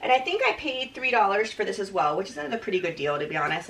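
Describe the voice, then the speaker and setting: The speech is very fast with very wide pitch swings, over noticeable background noise. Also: woman. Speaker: fashion reseller vlogger. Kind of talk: casual haul video.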